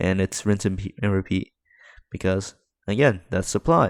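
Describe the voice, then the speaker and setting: A man speaks with a fairly low pitch and fairly even intonation. The sound is dry and close with no echo, in a very clean recording with a silent background. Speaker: anime vlogger. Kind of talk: casual monologue. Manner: monotone; halting.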